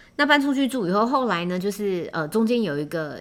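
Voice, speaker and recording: A woman is speaking. Her intonation is lively. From Taiwan, Taipei. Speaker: podcast host. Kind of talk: casual solo podcast monologue. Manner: hesitant, many filler words.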